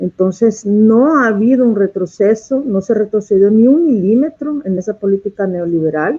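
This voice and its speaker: With lively intonation and a fairly high pitch, a woman speaks at a moderate pace with hardly any pauses. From El Salvador. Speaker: activist, researcher and popular educator. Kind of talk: interview. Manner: hesitant, frequent fillers.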